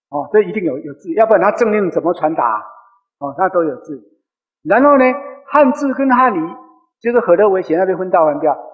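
This man speaks at a fairly quick pace with a high pitch, very wide pitch swings, and long, frequent pauses against a quiet background. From Tainan, Taiwan; Taiwan. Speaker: lecturer. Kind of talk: lecture. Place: hall. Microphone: headset.

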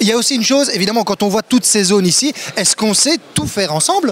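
A man talks fast at a high pitch, with lively intonation. His tone is fairly bright, with faint background noise behind him.

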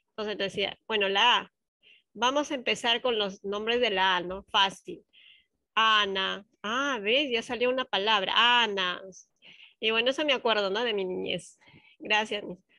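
The tone is bright and sharp, broken by long, frequent pauses. The sound is dry with no echo over a quiet background. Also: woman, ordinary pitch variation. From provincial Peru. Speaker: student teacher. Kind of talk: class discussion. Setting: video call. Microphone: video call.

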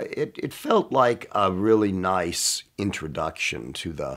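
A man speaking at a very slow pace against a quiet background. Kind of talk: interview answer. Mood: warm, amused nostalgia. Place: studio.

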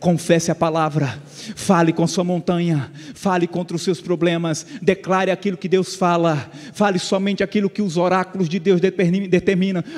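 High-pitched man with a monotone, flat delivery. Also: moderate pace. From Brazil, Pernambuco sertão. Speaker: pastor. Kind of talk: sermon. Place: church. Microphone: handheld.

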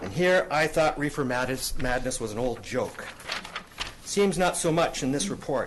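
Using a normal speaking voice, a man talks at a moderate pace with a fairly high pitch. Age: 60s. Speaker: cannabis advocate. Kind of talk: public hearing presentation. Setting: council chambers. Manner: formal.

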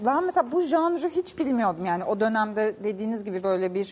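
Lively rises and falls mark this speech, delivered at a moderate speed. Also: woman. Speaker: TV culture show host. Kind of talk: news-style book and event roundup; TV interview. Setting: TV studio. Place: studio.

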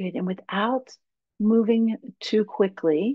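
Against a quiet background, a woman talks in a calm, soothing tone. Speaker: yoga teacher and English professor; yoga teacher, English professor. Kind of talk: guided meditation. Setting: video call webinar. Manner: slow, calm, soothing. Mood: calm, soothing guidance. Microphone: webcam.

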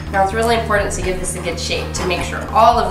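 Over clear background music and audible room echo, a woman talks at a very fast pace. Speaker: home cooking show host. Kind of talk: tutorial. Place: kitchen. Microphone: camera far.

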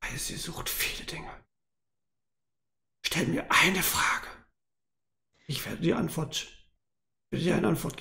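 A man in a put-on character voice, raspy and high-pitched, speaks at a moderate pace with long, frequent pauses. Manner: hostile, then curt and clipped.

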